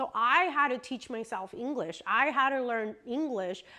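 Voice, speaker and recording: A woman's bright, sharp tone at a moderate pace. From US, Mexican family. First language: Spanish. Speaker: vlogger. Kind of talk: casual chat. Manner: conversational, many fillers.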